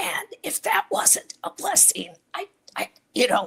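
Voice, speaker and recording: Whispering at a fairly slow pace, a woman is heard in a dry, close sound with no echo. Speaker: voice disorder advocate. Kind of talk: interview. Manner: halting.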